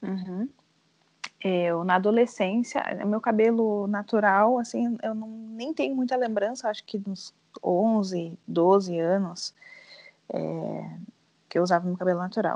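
A woman's medium-pitched voice at a fairly slow pace, ordinary pitch variation and long, frequent pauses. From southern Brazil, Rio Grande do Sul (São José do Norte). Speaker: teacher. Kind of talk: casual chat.

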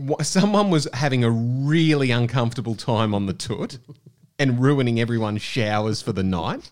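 Speaking with an Australian accent, a man uses lively intonation at a medium pitch. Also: moderate pace. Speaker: podcast host. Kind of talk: casual chat.

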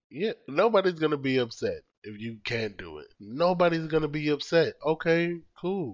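Loud and lively in intonation, a man with a fairly high pitch talks at a moderate pace. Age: 30s. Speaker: podcast co-host. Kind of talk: casual chat.

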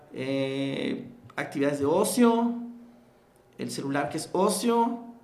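A man speaks at a fairly high pitch with ordinary pitch variation. Noticeable background noise and audible room echo surround his voice. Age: 50s. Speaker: network marketing entrepreneur and mentor. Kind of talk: interview.

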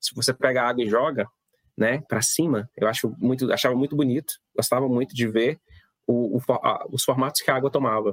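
A man of medium pitch speaks at a fairly quick pace with fairly even intonation, in a dry, close sound with no echo. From Mato Grosso interior, Brazil. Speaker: physics teacher. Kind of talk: casual interview. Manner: halting, many fillers; patient explaining.

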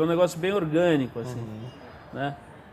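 This man talks at a fairly quick pace in a high pitch. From Brazil, São Paulo. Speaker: magazine founder and editor. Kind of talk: casual interview. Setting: bookstore.

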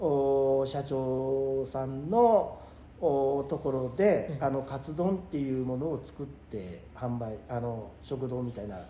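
A man's medium-pitched voice, very slow, with ordinary pitch variation and audible room echo. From Nagano, Japan (Takato, then Kiso). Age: 60s. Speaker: company president, pickle maker. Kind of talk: casual interview.

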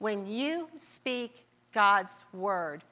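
A woman's bright, sharp voice at medium pitch, with an American accent and lively intonation. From US Midwest (Marietta, Ohio). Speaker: guest preacher. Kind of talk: sermon. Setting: church.

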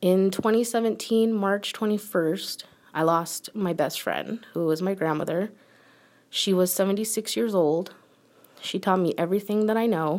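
An ordinary speaking voice in an American accent, at a moderate pace with ordinary pitch variation. Loudness is very even, on a very clean recording with a silent background. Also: woman, medium pitch for a woman. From United States. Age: 30s. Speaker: podcast host. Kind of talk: personal monologue.

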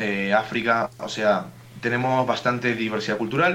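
There is noticeable background noise. A man with a medium-pitched voice talks at a moderate pace with ordinary pitch variation. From Uruguay. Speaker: student. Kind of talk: casual chat.

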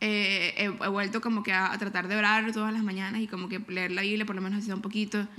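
Over noticeable background noise, a woman of medium pitch talks very fast with hardly any pauses and a monotone, flat intonation. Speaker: podcast co-host. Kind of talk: casual chat. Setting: living room at home.

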